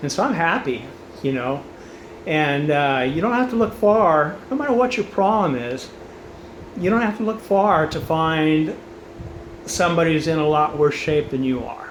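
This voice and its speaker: Amid noticeable background noise and audible room echo, a man speaks at a fairly high pitch with lively intonation. He keeps a moderate pace but pauses long and often. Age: 60s. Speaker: cancer patient addressing family and friends. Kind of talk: personal video message. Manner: casual, conversational with many fillers.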